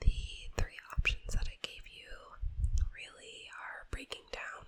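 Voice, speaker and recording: Whispering in a gentle tone, a woman speaks very slowly over noticeable background noise. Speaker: ASMR creator. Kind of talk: ASMR pet-shop roleplay, advice talk. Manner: whispered, soft-spoken, gentle.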